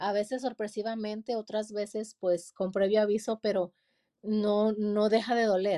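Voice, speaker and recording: With a dark, mellow tone, a woman speaks at a fairly slow pace and a fairly high pitch with fairly even intonation, the sound dry and close with no echo. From Mexico, Durango. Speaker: pastor and author. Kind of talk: interview.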